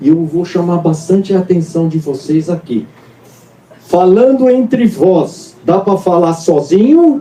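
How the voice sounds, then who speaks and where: Over noticeable background noise, a man with a high pitch talks at a fairly slow pace using lively intonation. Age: 60s. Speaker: pastor. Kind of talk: sermon. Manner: animated.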